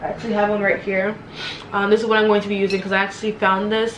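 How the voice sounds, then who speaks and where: A woman talks at a medium pitch. The recording has noticeable background noise and audible room echo. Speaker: student vlogger. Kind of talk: casual vlog tutorial. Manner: fast; animated.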